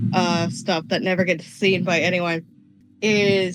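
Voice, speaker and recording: A woman's voice over noticeable background noise. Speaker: podcast guest, fan artist. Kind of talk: casual chat.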